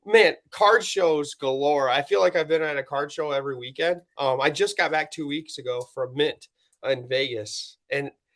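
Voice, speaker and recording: At a moderate pace, a man with an American accent speaks with ordinary pitch variation. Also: fairly high pitch for a man. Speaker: podcast host, card collector. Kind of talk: casual chat.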